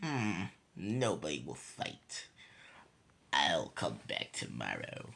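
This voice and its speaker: In a put-on character voice, a man talks at a very slow pace with long, frequent pauses. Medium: read story. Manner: booming, menacing.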